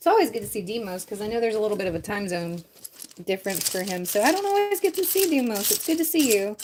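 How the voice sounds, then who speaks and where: Over noticeable background noise, a woman talks at a very fast pace. Her fairly high voice swings very widely in pitch. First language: French. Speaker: Lego building livestreamer. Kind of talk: casual livestream chat with viewers.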